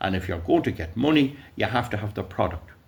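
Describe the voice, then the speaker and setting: A loud man's voice with vocal fry and an Irish accent. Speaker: YouTuber. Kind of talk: casual monologue. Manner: halting.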